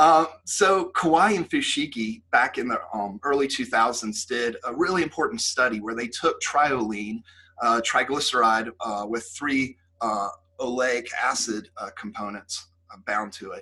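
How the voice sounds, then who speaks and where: At a fairly slow pace, a man with a normal speaking voice talks at medium pitch. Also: lively intonation, big swings in loudness. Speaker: professor. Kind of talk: lecture.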